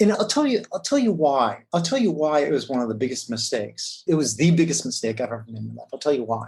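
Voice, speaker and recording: A man with an American accent, somewhat breathy, with lively intonation. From US Midwest (Wisconsin). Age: 50s. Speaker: corporate lawyer. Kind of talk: interview. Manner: halting, with frequent repetitions.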